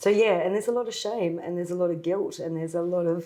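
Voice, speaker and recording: A woman with an Australian accent, fairly low in pitch, at a very fast pace. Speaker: former legal client. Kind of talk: testimony.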